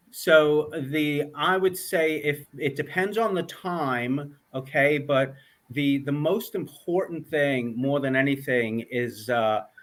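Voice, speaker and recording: This man has a New York accent and a fairly high pitch. He speaks at a very slow pace with ordinary pitch variation. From New York, Long Island. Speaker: author and mindset coach. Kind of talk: interview.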